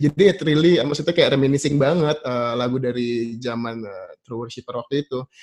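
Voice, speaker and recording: This man speaks at a fairly quick pace with hardly any pauses. His pitch is medium with ordinary variation, and his loudness swings widely. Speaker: worship leader. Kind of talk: casual panel discussion. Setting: video call. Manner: calm.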